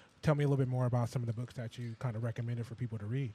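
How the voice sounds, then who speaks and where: A somewhat breathy man of medium pitch, talking at a very fast pace with fairly even intonation. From California. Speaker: radio show co-host. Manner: conversational interviewer.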